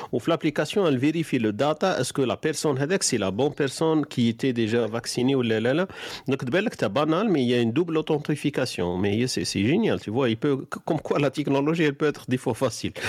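A man's intonation is lively as he speaks at a very fast pace. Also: fairly high pitch for a man. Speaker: online radio host. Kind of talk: live call-in talk show. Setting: live online studio broadcast.

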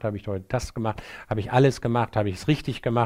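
A man rattles off words at a very fast pace on a very clean recording, silent background. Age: 60s. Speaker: psychiatrist. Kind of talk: interview. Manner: hesitant, many fillers.

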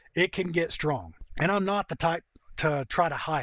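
This man talks at a moderate pace with a high pitch, ordinary pitch variation, and an American accent. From North Georgia, US South. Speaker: podcast host, online marketer. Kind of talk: podcast intro/monologue. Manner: conversational, informal.

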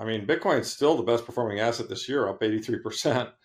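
Against a quiet background, a man with a normal speaking voice talks at a medium pitch with ordinary pitch variation. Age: 60s. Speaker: investment manager. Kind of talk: interview conversation.

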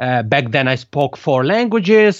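With an Italian accent, a man talks at a fairly high pitch with lively intonation. The background is quiet and the sound dry and close, with no echo. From Italian-speaking Switzerland. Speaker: podcast consultant. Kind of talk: interview.

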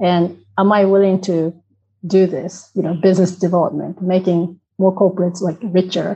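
A woman with a Japanese accent speaks in a somewhat breathy, dark, mellow tone with monotone, flat intonation. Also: medium pitch for a woman, moderate pace. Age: 40s. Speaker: inclusion consultant. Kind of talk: interview.

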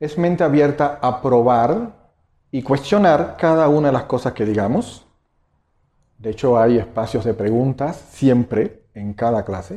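A man with a Cuban accent speaks at medium pitch and a fairly slow pace. His intonation is lively, and the background is quiet. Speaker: meditation teacher. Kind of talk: lecture. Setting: stage with audience.

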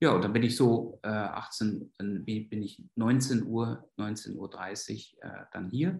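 A very slow male voice with ordinary pitch variation and big swings in loudness. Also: medium pitch for a man. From Germany, Westphalia. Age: 50s. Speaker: psychiatrist and clinic director. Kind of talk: interview. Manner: hesitant, many filler sounds.

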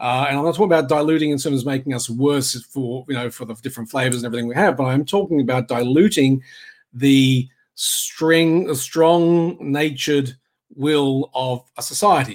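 Spoken with an Australian accent at a moderate pace. The pitch varies in an ordinary way. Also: man, fairly high pitch for a man. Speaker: political commentary podcaster. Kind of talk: solo livestream monologue. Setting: live video stream.

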